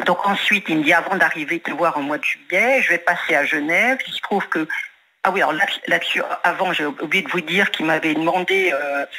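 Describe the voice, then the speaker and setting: Noticeable background noise sits behind a woman talking at a fairly quick pace, her fairly low pitch moving with ordinary variation. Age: 70s. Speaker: caller, retired business owner. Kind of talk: testimony.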